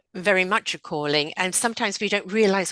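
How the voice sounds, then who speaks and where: Bright and sharp in tone, this voice carries an English accent, recorded dry and close with no echo against a quiet background. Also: woman. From England. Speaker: spiritual counselor and podcaster. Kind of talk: podcast interview.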